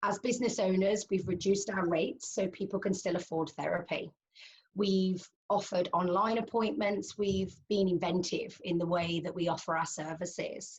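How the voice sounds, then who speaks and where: A woman with a British accent speaks at a moderate pace, her medium-pitched voice somewhat breathy and her intonation fairly even. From United Kingdom. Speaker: cognitive hypnotherapist. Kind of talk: interview answer.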